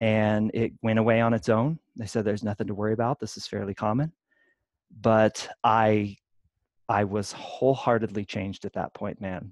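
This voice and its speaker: A normal speaking voice with an American accent moves at a moderate pace and fairly even intonation. The sound is dry and close with no echo, over a quiet background. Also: man, fairly low pitch for a man. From Kansas. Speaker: fitness coach and podcaster. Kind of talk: casual interview.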